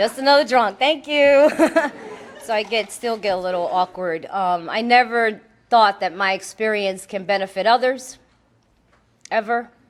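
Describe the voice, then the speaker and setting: A woman with a strong Puerto Rican accent speaks at a fairly high pitch and a moderate pace, with ordinary pitch variation. She leaves long, frequent pauses. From Puerto Rican background. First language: Spanish. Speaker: AA speaker, recovering alcoholic. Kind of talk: recovery testimony talk. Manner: casual, conversational with filler words.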